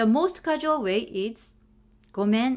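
A woman's fairly high voice in a Japanese accent, very slow, with very wide pitch swings. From Japan (Sano, Tochigi). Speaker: language teacher. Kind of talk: tutorial. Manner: slow and clear.

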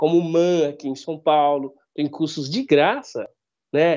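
At a fairly slow pace, a man is speaking. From Northeast Brazil. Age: 40s. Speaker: blind photographer. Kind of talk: interview. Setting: video call.

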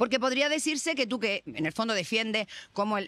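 Pitched fairly high, a woman speaks with lively intonation. The sound is dry with no echo. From Chile. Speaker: podcast host. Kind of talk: casual chat. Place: cafe. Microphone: studio mic.

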